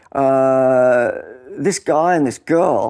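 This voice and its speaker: Speaking in an Australian accent, a man uses a fairly high pitch. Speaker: former pro surfer and writer. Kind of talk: casual chat.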